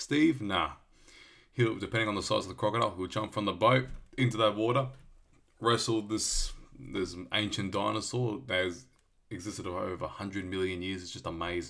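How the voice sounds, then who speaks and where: A man with an Australian accent, fairly low in pitch, fairly quick, with a bright, sharp tone. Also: ordinary pitch variation. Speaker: podcast host. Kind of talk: solo podcast monologue. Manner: hesitant, many fillers.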